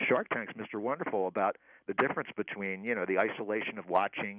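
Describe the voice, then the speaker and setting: Speaking at a fairly quick pace, a man talks with an American accent. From Philadelphia, US. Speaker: comedy writer and podcaster. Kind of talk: radio interview. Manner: halting, many fillers.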